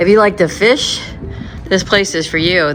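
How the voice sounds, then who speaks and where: The speaker moves at a moderate pace with ordinary pitch variation. Noticeable background noise runs underneath. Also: woman. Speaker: travel vlogger. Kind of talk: travel vlog narration. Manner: casual.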